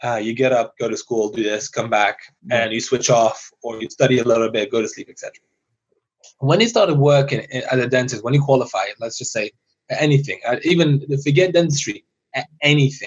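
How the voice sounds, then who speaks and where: This man speaks at a fairly quick pace in a somewhat breathy voice with a fairly high pitch. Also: ordinary pitch variation. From Iran (Tehran), raised in UK. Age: young. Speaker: dentist. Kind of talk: casual interview chat. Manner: animated.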